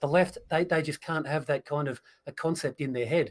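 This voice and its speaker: A fairly high-pitched man with an Australian accent, very fast pace and fairly even intonation, on a very clean recording with a silent background. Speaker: political commentator. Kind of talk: casual political livestream discussion.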